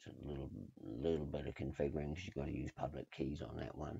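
The voice has a dark, mellow tone with vocal fry. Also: man. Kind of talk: casual tech screencast walkthrough. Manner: hesitant, many filler words.

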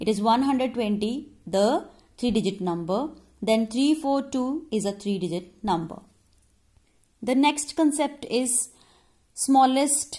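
Over a quiet background, a woman speaks with lively intonation at a high pitch, her tone dark and mellow. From India. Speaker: primary school teacher. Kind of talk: online lesson for children. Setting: recorded video lesson. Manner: slow, instructive. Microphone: phone near.

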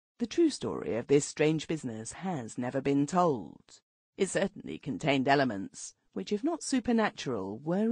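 A woman speaks at a moderate pace in a very deep, low pitch, with vocal fry and very wide pitch swings. The sound is dry and close with no echo against a quiet background. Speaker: audiobook narrator. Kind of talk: audiobook narration, reading aloud a formal early twentieth-century prose text. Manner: formal, measured literary delivery; steady, storyteller pacing with long flowing sentences.

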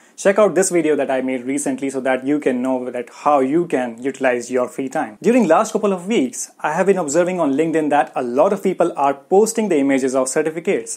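A man with a fairly high pitch, lively intonation and a very fast pace, hardly any pauses, over a quiet background. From India. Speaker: food technology educator YouTuber. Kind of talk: educational vlog monologue. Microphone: lapel.

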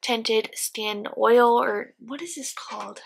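Pitched fairly high, a woman talks at a fairly slow pace with a bright, sharp tone. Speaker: beauty vlogger. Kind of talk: product review vlog. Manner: casual, filler-heavy.

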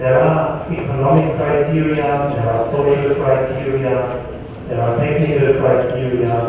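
The speech moves at a very slow pace with fairly even intonation, set in strong room echo with noticeable background noise. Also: man. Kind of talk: workshop speech. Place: hall.

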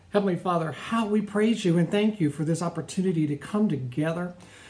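A man's high voice, fairly quick, with ordinary pitch variation. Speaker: pastor. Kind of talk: welcome announcement and prayer. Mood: warm, welcoming. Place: home room. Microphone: phone near.

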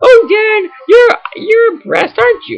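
A put-on character voice, extremely high in pitch. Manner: mocking.

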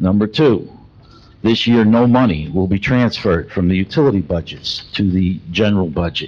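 A man speaks with fairly low pitch and ordinary pitch variation. It is an ordinary speaking voice at a moderate pace. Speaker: resident at public comment. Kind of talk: public comment questions read aloud. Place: hall.

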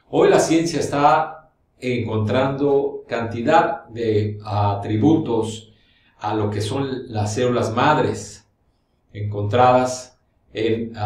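A man's very slow delivery with ordinary pitch variation and audible room echo. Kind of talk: explanatory talk to camera. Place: studio.

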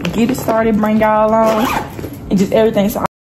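A woman with an American accent talks at a very fast pace. There is noticeable background noise. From Nashville, Tennessee. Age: young. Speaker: college student, vlogger. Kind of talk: casual vlog talk to camera.

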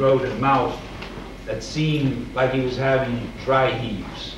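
Audible room echo surrounds a man's voice. Light background noise can be heard too. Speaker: writer reading a short story. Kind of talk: reading a short story aloud. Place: hall.

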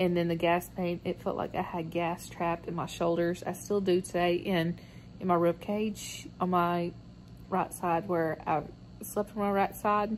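Someone with a Southern US accent talks at a fairly slow pace in a monotone, flat intonation. Light background noise is present. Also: woman, fairly low pitch for a woman. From US South. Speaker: vlogger. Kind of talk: video blog about surgery. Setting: at home and in car, hospital. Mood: tired, relaxed recovery talk. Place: home room.

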